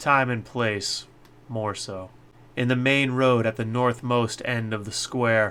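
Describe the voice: The text is read aloud plainly, with intonation that stays fairly even.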